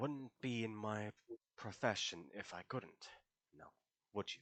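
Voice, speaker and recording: A man puts on a character voice, pitched fairly low. He talks at a fairly slow pace. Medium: actual play. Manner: calm, dry, unshockable.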